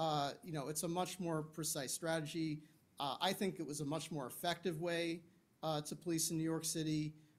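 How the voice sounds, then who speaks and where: At a moderate pace, a man talks in a fairly high pitch with monotone, flat intonation. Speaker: crime researcher; panelist. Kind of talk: panel discussion; panel discussion answer. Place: meeting room. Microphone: handheld.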